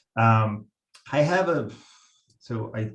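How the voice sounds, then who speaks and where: A man's fairly low voice, somewhat breathy. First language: Italian. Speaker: software product manager. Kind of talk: presentation. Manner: halting, many fillers.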